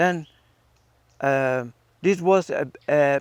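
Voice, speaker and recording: At a very slow pace, a man with an Italian accent and a fairly high pitch speaks with ordinary pitch variation in a dry, close sound with no echo. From northern Italy, Milan. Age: 70s. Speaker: theater artist, Kathakali performer. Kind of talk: interview, personal life story. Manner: halting, many fillers.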